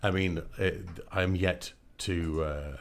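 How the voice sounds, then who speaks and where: The speaker has a Scottish accent, heard in a very clean recording with a silent background. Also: man. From Scotland. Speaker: voiceover artist. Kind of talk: casual radio interview. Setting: studio. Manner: animated.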